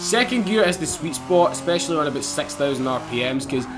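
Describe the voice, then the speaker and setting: A man with a fairly high pitch and a strong Scottish accent, amid audible room echo and music in the background. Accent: Scottish, strong enough that viewers struggle. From Scotland, Glasgow. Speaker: gaming YouTuber. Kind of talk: gameplay commentary. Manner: fast; animated.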